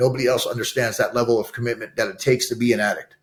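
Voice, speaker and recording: Talking very fast, a man speaks with an American accent. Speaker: addiction recovery and re-entry advocate, ex-prisoner. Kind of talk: interview conversation. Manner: loud; animated.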